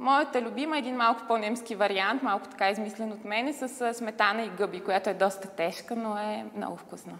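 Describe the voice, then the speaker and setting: At a fairly quick pace and with hardly any pauses, a woman speaks in a fairly high voice with ordinary pitch variation. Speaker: model and TV commentator. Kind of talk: TV interview. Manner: animated storytelling.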